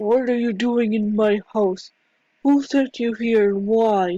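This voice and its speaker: A put-on character voice, female-sounding, fairly high in pitch and fairly slow in pace. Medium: machinima. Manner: defensive, stubborn.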